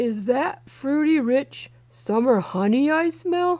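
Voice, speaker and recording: Using a put-on character voice, a woman speaks very slowly in a high pitch. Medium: read story. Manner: jovial.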